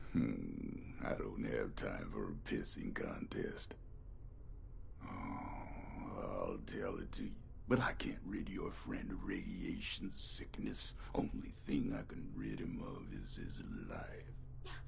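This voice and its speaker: A man puts on a character voice. He goes at a fairly slow pace over clear background noise. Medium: video game. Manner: gruff, menacing.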